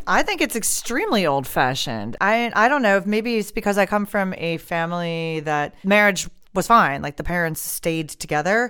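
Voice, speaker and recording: At a moderate pace, a woman with an American accent talks in a bright, sharp tone. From United States. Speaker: podcast co-host. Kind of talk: casual chat.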